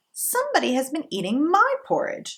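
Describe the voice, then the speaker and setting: Putting on a character voice, a woman talks at a moderate pace with an extremely high pitch. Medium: read story.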